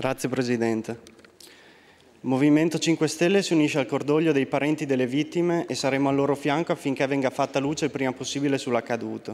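Very even in loudness, a man with a fairly high pitch talks at a very fast pace with fairly even intonation. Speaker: member of parliament. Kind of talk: parliamentary oratory, political statement. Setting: parliament chamber. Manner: formal, reading prepared text.

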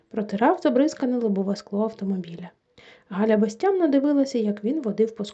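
Over a quiet background, someone reads aloud in a natural voice.

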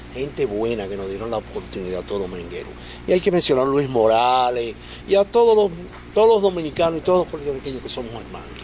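A man at a medium pitch speaks at a very fast pace with very wide pitch swings over light background noise. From Dominican Republic, Los Minas, Santo Domingo; Dominican Republic. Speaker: merengue musician and composer; guest. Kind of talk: interview. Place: studio. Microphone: studio mic.

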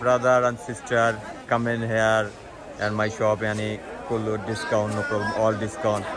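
Over crowd noise in the background, a man speaks at a fairly slow pace in a dry sound with no echo. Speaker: market stall seller. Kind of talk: casual sales talk to camera. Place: market. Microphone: phone near.

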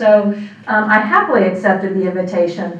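A woman's voice with audible room echo. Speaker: guest. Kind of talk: lecture. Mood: warm, smiling, light humor. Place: hall.

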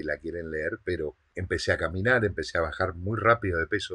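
Over a quiet background, a man with a fairly low pitch talks in a bright, sharp tone with ordinary pitch variation. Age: 40s. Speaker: online business coach. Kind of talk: motivational monologue. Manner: halting, with frequent word repetitions. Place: home room.

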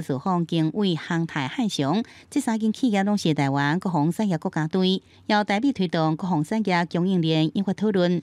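Fairly low-pitched female speech in a Taiwanese accent, moderate in pace with ordinary pitch variation, on a very clean recording with a silent background and a dry, close sound with no echo. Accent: Taiwanese Hokkien. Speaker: news reporter. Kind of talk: news report narration.

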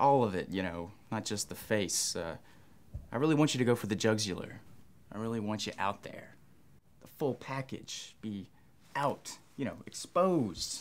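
A moderate pace broken by long, frequent pauses. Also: man. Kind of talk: acted comedic direction. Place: shop.

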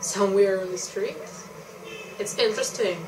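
In a room with audible echo, a woman talks at a moderate pace, her medium-pitched, slightly mellow voice showing ordinary pitch variation.

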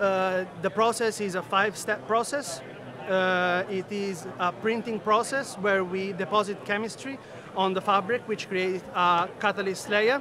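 Against noticeable background noise, a man uses a raised, projected voice at a high pitch, with fairly even intonation, a fairly slow pace and a dry sound with no echo. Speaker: engineer at a textile tech startup. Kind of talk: trade show interview. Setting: trade show floor. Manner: halting, frequent fillers. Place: hall. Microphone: phone near.

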